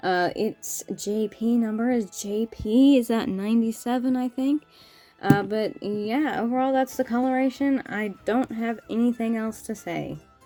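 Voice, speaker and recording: This woman's pitch is fairly high and her intonation fairly even. She talks at a fairly slow pace while music plays in the background. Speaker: toy reviewer. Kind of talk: product review. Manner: hesitant with repeated words.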